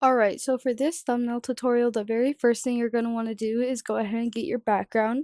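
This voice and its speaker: This woman talks at a very fast pace with a high pitch, a dark, mellow tone and fairly even intonation, leaving hardly any pauses. The recording is very clean with a silent background and a dry, close sound with no echo. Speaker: gaming youtuber. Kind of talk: tutorial. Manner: casual.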